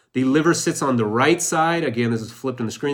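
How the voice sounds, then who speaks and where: Noticeable background noise sits under a man's animated tone and ordinary pitch variation. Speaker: radiologist teaching online. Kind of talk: live teaching session.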